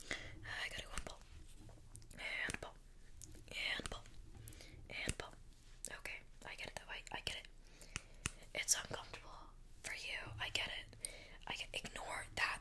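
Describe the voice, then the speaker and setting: In a whisper, a woman talks at a moderate speed. Her pauses are long and come often. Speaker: role-play content creator. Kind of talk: role-play chat addressed to viewer. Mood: playful, mock apologetic. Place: home room. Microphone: earbuds.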